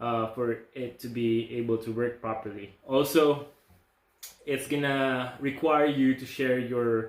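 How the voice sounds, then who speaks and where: Medium in pitch, this man's voice moves at a fairly slow pace with fairly even intonation. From outside the US. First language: not English. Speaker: nursing school applicant. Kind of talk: casual vlog talk.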